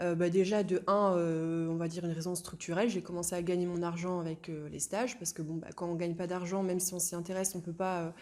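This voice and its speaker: Her tone dark and mellow, a woman talks at a medium pitch and a fairly quick pace. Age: 20s. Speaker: young stock investor. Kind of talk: interview. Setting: in person, shared small mic. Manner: hesitant, many fillers.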